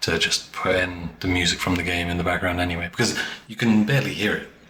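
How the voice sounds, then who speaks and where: Over noticeable background noise, a man speaks in a very deep, low, rumbling voice with fairly even intonation. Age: 20s. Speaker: video essayist. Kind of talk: casual chat.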